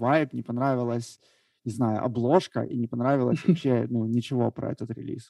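A man speaks at a medium pitch and a fairly quick pace, his tone dark and mellow. The sound is dry and close with no echo, over a quiet background. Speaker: podcast co-host. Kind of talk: casual chat.

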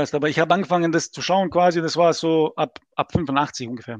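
A man with a strong non-native accent speaks fairly quickly in a high pitch. The sound is dry and close, with no echo. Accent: strong foreign accent in German. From Bosnia and Herzegovina, Mostar. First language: Serbo-Croatian (speaking German). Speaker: gaming league player. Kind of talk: podcast interview.

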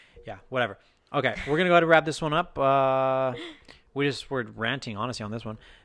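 Against a quiet background, a man talks at a very fast pace with an American accent. His pitch is medium with ordinary pitch variation. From Texas. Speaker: podcast co-host. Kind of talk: casual chat.

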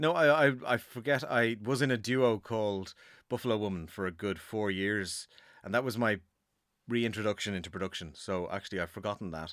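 A man talks at a fairly quick pace in a Dublin accent, his pitch fairly low with ordinary variation. The recording is very clean, with a silent background. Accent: Dublin Irish. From Ireland, Dublin. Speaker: musician and producer. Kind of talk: casual interview chat. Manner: halting, with many fillers.

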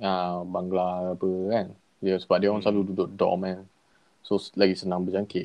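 A man speaks with a very deep, low pitch. His intonation is monotone and flat, at a moderate pace. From Kedah, Malaysia. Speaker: podcast guest. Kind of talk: casual chat. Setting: remote call with earphones.

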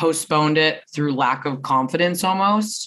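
In an animated tone, a woman with a very deep, low voice talks with lively intonation. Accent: Canadian. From Vancouver area, Canada. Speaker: singer-songwriter and performer. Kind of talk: casual interview chat. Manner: outgoing, animated, outspoken.

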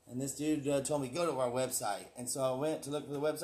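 The delivery comes at a very fast pace. Its intonation stays monotone and flat. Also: man. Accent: Texas. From Texas (Houston, Galveston) and Oklahoma. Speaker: guest, construction superintendent. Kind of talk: casual chat. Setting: studio.

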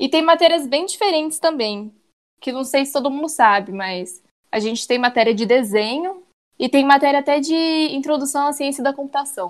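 A woman's high-pitched voice with lively intonation over a quiet background. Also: moderate pace. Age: 20s. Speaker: civil engineering student. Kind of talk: interview.

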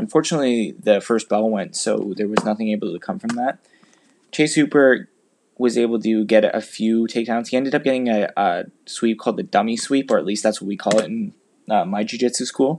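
With an ordinary speaking voice, a man talks at a fairly quick pace, his medium pitch showing ordinary variation. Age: 20s. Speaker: podcast host and amateur MMA fighter. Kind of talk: solo commentary podcast.

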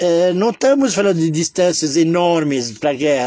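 A man's high-pitched, lively voice comes through noticeable background noise. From Lebanon (Beirut). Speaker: memoir storyteller. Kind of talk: personal storytelling monologue. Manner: halting, many fillers.

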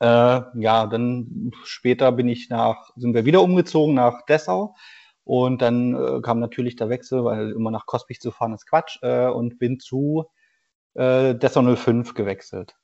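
A normal speaking voice from a man, medium in pitch with ordinary pitch variation and a fairly slow pace. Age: 30s. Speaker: former pro footballer, amateur player. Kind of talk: interview.

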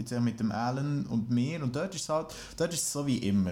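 In a Swiss accent, a man speaks at a moderate pace. His pitch variation is ordinary. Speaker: musician. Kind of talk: casual chat. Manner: halting.

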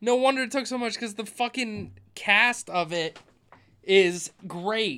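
Projected and raised, a man's high-pitched voice has a bright, sharp tone and moves at a very slow pace. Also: ordinary pitch variation. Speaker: podcast host. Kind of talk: casual banter, comedic film review.

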